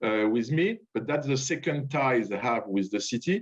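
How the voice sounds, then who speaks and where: With a French accent, a man talks at a moderate pace in a fairly high pitch. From France. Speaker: diplomat. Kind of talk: speech at online event. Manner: halting.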